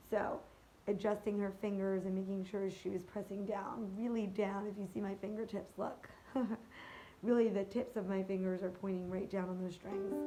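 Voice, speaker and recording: A woman at a medium pitch speaks at a moderate pace in a monotone, flat delivery, with audible room echo. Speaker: ukulele teacher. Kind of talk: tutorial. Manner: casual, hesitant with fillers.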